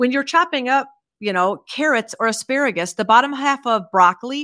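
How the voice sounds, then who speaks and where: On a very clean recording with a silent background and a dry, close sound with no echo, a woman with an American accent talks fairly quickly in a high, bright, sharp voice with lively intonation. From Iowa, US Midwest. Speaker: veterinarian. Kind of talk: interview.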